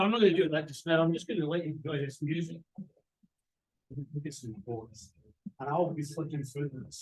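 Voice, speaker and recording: A somewhat breathy man with a fairly high pitch speaks at a fairly quick pace, his pitch varying normally, with long, frequent pauses. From Britain. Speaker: professor. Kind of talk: lecture. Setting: video call.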